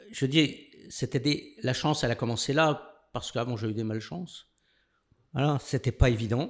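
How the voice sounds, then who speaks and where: A man of medium pitch speaks at a moderate pace with ordinary pitch variation and long, frequent pauses, on a very clean recording with a silent background. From France, Lorraine (Longwy, Nancy). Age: 60s. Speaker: lawyer. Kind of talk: podcast interview, life story.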